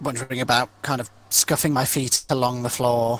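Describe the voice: A man's medium-pitched voice in an English accent, fairly bright in tone, at a moderate pace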